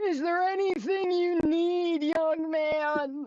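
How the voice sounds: Using a put-on character voice, a woman speaks at an extremely high pitch and a very slow pace.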